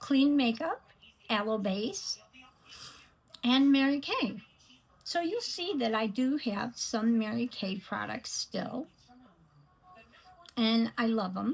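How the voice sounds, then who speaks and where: A woman talks at a fairly slow pace with long, frequent pauses. Her intonation is lively. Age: 60s. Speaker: beauty vlogger. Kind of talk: makeup tutorial. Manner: hesitant, many fillers.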